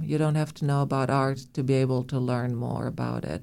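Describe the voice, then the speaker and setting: The speaker has a Romanian accent, heard in a very clean recording with a silent background. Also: woman. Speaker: museum director. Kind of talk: interview.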